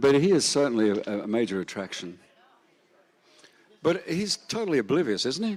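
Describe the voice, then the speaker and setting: A man with an Australian accent, fairly high in pitch, with very wide pitch swings, a moderate pace and long, frequent pauses. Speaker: festival emcee. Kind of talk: casual stage banter.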